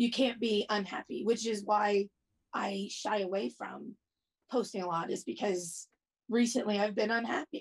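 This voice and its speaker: A woman's medium-pitched, somewhat breathy voice. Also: ordinary pitch variation, moderate pace. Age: 40s. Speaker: interviewee and plus-size content creator. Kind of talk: casual interview chat. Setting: video call.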